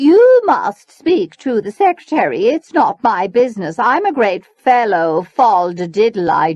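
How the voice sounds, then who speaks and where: This female-sounding voice is a put-on character voice, fairly high in pitch, delivered at a moderate pace with hardly any pauses. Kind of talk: refined, affected. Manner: haughty, dismissive.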